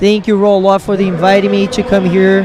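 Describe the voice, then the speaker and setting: There is noticeable background noise as a man speaks with a Brazilian Portuguese accent. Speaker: jiu-jitsu instructor and guest commentator. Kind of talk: live commentary.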